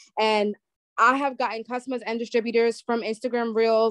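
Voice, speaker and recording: A woman speaks with a New York accent at a fairly high pitch. The sound is dry and close with no echo, and the background is quiet. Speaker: social media business coach. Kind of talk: webinar presentation. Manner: fast.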